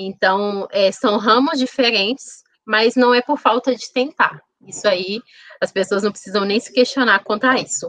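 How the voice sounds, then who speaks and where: Speaking at a moderate pace with an ordinary speaking voice, a woman at fairly high pitch shows ordinary pitch variation and big swings in loudness, in a dry, close sound with no echo. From Contagem, Minas Gerais, Brazil. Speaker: HR professional and food entrepreneur. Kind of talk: interview.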